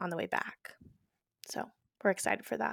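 On a very clean recording with a silent background, a woman speaks in a bright, sharp tone. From Texas (Houston). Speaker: singer-songwriter. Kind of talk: interview. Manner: halting, many fillers.

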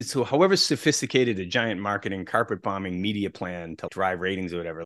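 A man with a plain, everyday voice, fairly low in pitch, speaks at a fairly quick pace with lively intonation against a quiet background. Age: 40s. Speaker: sports executive. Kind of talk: interview.

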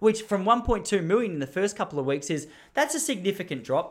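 Speaking very fast with an Australian accent, a man is heard on a very clean recording with a silent background. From Melbourne, Australia. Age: 30s. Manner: fast talker; rambling, self-correcting.

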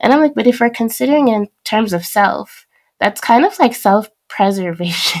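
A woman speaks in an ordinary speaking voice at a moderate pace, her fairly high pitch carried by lively intonation and very even loudness. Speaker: podcast host. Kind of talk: interview conversation.

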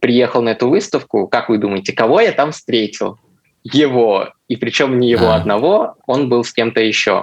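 A man's normal speaking voice at medium pitch, moderate in pace, with ordinary pitch variation. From Russia, Chelyabinsk. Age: 20s. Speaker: designer, listener telling his story. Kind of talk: personal story in casual chat.

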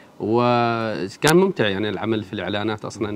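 A man speaks at a moderate pace. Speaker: bookshop founder. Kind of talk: interview. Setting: radio studio. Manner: hesitant fillers.

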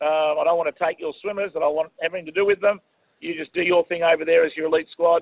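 A man speaks with an Australian accent. His pitch is high and his intonation monotone and flat. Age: 50s. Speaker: swim coach. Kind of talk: interview.

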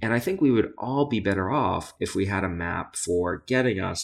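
A man speaks in a plain, everyday voice with a fairly low pitch and ordinary pitch variation. The recording is very clean, with a silent background. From US, Brooklyn, New York. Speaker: psychology professor and author. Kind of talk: interview conversation.

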